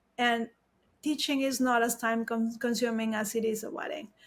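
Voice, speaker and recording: In a very clean recording with a silent background, a woman with a Mexican accent speaks at a fairly high pitch with monotone, flat intonation. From Mexico. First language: Spanish. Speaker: wedding photographer. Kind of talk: interview.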